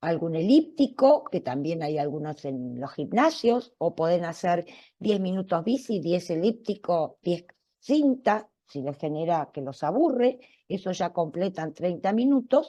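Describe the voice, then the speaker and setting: A woman with an Argentine accent, fairly low pitch, very wide pitch swings, a dark, mellow tone and a fairly slow pace over a quiet background. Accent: Argentine Spanish (Rioplatense). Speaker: cardiologist giving a public talk. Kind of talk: public health talk, Q&A.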